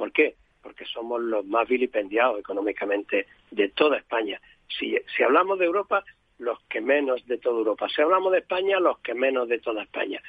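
Speaking at a fairly quick pace, a man with a medium pitch makes very wide pitch swings. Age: 70s. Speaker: doctor, medical association president. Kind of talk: radio interview.

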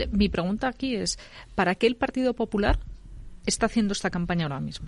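This woman talks very fast at a medium pitch. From Castilla y León. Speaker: political commentator. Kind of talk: panel discussion.

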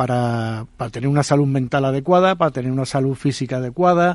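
The speech moves along at a moderate pace. It is an ordinary speaking voice. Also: man. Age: 60s. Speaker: retired executive volunteer. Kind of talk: radio panel discussion.

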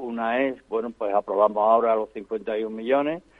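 A man with a medium-pitched voice speaks at a moderate pace with fairly even intonation in an unremarkable speaking voice. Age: 60s. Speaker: foundation founder. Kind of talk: interview.

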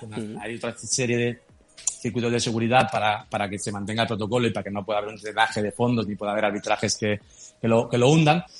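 A man at medium pitch with ordinary pitch variation, very fast, over noticeable background noise. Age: 40s. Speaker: crypto startup founder. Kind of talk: interview.

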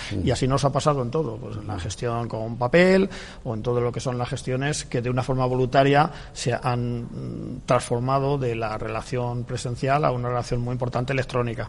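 A man talks at a moderate pace in a plain, everyday voice, medium in pitch, with fairly even intonation. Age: 60s. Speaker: public sector IT manager. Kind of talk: radio interview. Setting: live broadcast from a library.

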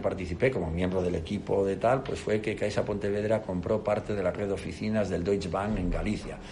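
Over noticeable background noise, a man with a fairly low voice talks at a very fast pace with hardly any pauses. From Spain, Castile and León (León). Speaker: company CEO. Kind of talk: interview.

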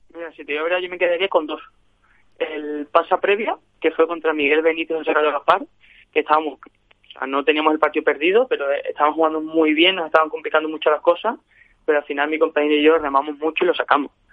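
A man talks at a very fast pace in a fairly high pitch with fairly even intonation. His loudness swings widely. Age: 20s. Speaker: padel player. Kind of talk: interview.

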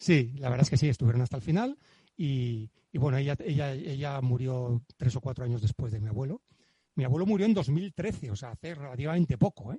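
This man speaks at a fairly quick pace in a dark, mellow, somewhat breathy tone with lively intonation, the sound dry and close with no echo. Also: medium pitch for a man. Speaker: guest discussing his grandfather's book. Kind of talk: casual chat. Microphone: professional microphone.

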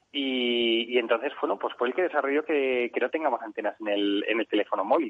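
This man talks at a fairly quick pace with hardly any pauses. His pitch is medium, with ordinary variation. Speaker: real estate business executive. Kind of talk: radio interview. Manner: halting.

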